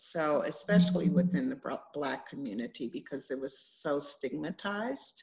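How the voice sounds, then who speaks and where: The voice, somewhat breathy and with an American accent, moves at a moderate pace through very wide pitch swings against a quiet background. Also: woman, fairly low pitch for a woman. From Washington D.C. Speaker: holistic healer. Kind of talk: casual chat. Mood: earnest, reflective. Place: home room. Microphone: video call.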